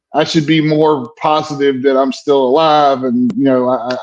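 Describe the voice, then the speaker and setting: A man speaks with a Southern US accent. His pitch is fairly high and his pace is moderate. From US South, South Carolina. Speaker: military veteran. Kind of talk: casual chat.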